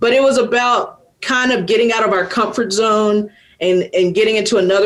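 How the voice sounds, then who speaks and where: A woman with an American accent talks at a fairly quick pace with ordinary pitch variation over noticeable background noise. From US South, Atlanta, Georgia. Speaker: rock musician. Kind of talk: interview. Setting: video call.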